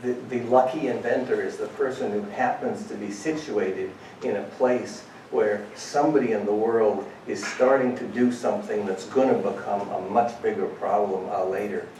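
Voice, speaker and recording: A man talks at a moderate pace. Noticeable background noise and audible room echo fill the recording. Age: 60s. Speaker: cardiac anesthesiologist. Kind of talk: panel talk. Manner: halting.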